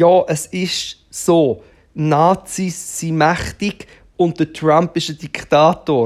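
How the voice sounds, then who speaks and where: Very slow pace on a very clean recording with a silent background. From Switzerland, Aargau. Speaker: podcaster and performer. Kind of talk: solo monologue. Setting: at home on the sofa. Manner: loud.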